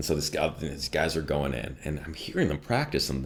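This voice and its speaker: A man with an American accent and vocal fry at a moderate pace. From Chicago area, northwest suburbs. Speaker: voice actor. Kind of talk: interview. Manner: animated.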